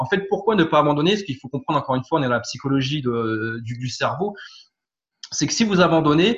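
A man talks fairly quickly in a fairly high, somewhat breathy voice with lively intonation. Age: 30s. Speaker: firefighter and property investor. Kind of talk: interview testimony. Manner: hesitant, many fillers and repetitions.

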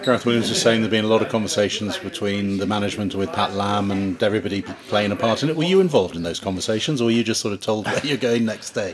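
Over noticeable background noise, a man rattles along at a very fast pace with hardly any pauses, fairly low pitch and ordinary pitch variation. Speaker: podcast host. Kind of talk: radio-style news round-up and interviews.

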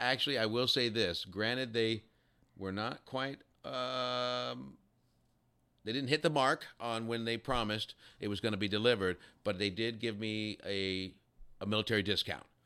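A man with an American accent speaks at a medium pitch and a moderate pace, his bright, sharp tone showing ordinary pitch variation amid long, frequent pauses. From Texas. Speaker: war veteran and musician. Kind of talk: casual interview.

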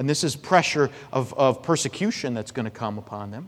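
Lively intonation at a moderate pace. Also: man. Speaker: pastor. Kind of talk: sermon. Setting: church. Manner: loud.

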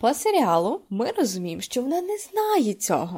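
With pitch swinging very widely, a woman speaks high and at a medium tempo. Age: 20s. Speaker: podcast host. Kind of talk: solo podcast monologue.

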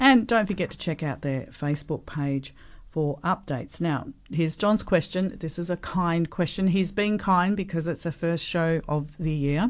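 A woman with an Australian accent and a fairly low pitch, moderate pace and ordinary pitch variation, on a very clean recording with a silent background. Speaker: radio host. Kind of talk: casual radio chat. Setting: radio studio. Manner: animated.

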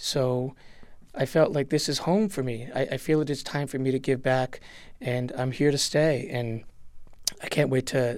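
This is an ordinary speaking voice. Its intonation stays fairly even. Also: man. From Puerto Rico, raised in a US town. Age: 40s. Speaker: children's choir director. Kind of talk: radio interview. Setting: studio.

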